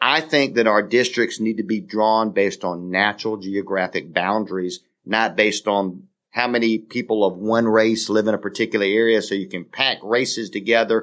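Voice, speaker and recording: This man has an ordinary speaking voice, fairly low in pitch, at a moderate pace with fairly even intonation. The recording is very clean, with a silent background. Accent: American. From US South, South Carolina (St. George, Dorchester County). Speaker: podcast co-host, former state legislator. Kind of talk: casual political chat.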